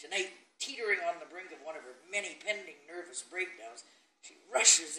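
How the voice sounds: The voice reading here sounds natural.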